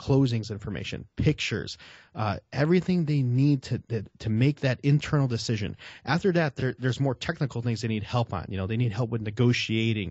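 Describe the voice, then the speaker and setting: This speaker has an American accent and talks at a fairly quick pace. The voice is somewhat breathy, with ordinary pitch variation. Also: man. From Chicago, South Side. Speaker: real estate marketing expert. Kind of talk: interview. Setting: video call. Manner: casual, filler-heavy.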